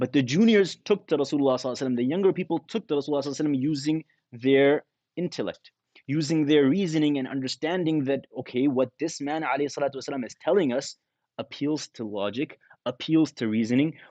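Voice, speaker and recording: In a Canadian accent, a man with a dark, mellow tone speaks at a fairly high pitch and moderate pace with ordinary pitch variation, the sound dry and close with no echo. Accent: Canadian English with Arabic religious terms. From Canada. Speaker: imam and Islamic scholar. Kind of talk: religious lecture.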